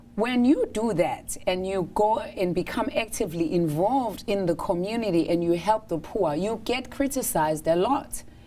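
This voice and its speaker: A woman talks at medium pitch with lively intonation and hardly any pauses. Noticeable background noise runs under her voice. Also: moderate pace. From South Africa. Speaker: doctor. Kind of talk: talk show interview. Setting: studio.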